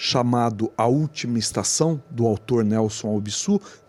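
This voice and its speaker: With a dry, close sound and no echo, a man talks at a fairly slow pace in a normal speaking voice of medium pitch. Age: 60s. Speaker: podcast host. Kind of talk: interview.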